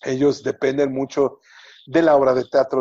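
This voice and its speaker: A man's medium-pitched, unremarkable speaking voice at a fairly slow pace. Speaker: entertainment reporter. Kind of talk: interview.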